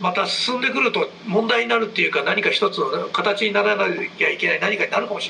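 Very fast speech comes through over noticeable background noise. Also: man. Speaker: podcast co-host. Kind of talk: casual chat. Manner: fast when excited, halting at times.

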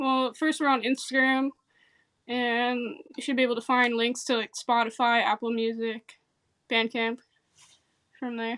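In an American accent, a woman with a high pitch and a bright, sharp tone talks at a moderate pace in a monotone, flat intonation, leaving long, frequent pauses. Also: dry, close sound with no echo. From central New Jersey. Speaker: indie rock bassist and guitarist. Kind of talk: casual interview chat. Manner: halting, many fillers.

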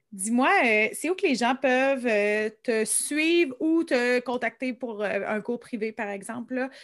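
A woman with a Quebec accent speaks in a high pitch with lively intonation. Her pace is very slow. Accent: Québécois French. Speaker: podcast host. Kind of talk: casual interview.

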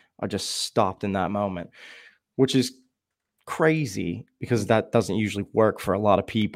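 A man with an American accent has an unremarkable speaking voice, fairly low in pitch. He speaks at a moderate pace in a very clean recording with a silent background. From Shamokin, Pennsylvania. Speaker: guest. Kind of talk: casual chat.

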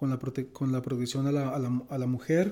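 A man's dark, mellow voice at a moderate pace. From Colombia, Bucaramanga and San Gil (Santander). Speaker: physicist. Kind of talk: interview. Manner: halting.

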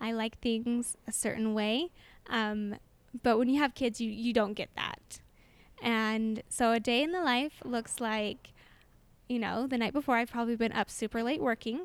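In a very clean recording with a silent background, a woman with an American accent and fairly high pitch talks at a moderate pace in an ordinary speaking voice with ordinary pitch variation. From Utah, US. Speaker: photographer and conference founder. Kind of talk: casual interview. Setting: conference venue, in person.

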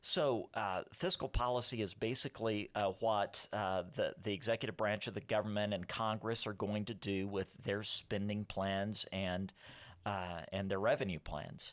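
At a moderate pace and a fairly low pitch, a man talks with fairly even intonation on a very clean recording with a silent background. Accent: Texan. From South Texas. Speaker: economist. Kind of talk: casual interview.

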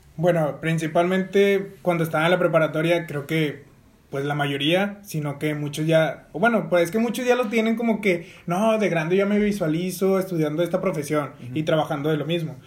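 Pitched high for a man, this male voice moves at a moderate pace with ordinary pitch variation. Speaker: podcast co-host, business administration student. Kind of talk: casual chat.

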